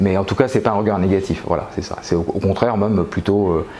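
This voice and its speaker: Over noticeable background noise, a man talks in a very deep, low voice with fairly even intonation. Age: 60s. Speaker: pole dance student. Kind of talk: interview. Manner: halting, many hesitations.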